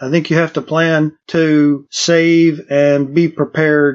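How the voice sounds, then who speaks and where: A man speaks in a normal speaking voice. His pitch is fairly high, with fairly even intonation. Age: 60s. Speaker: retiree. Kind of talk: interview.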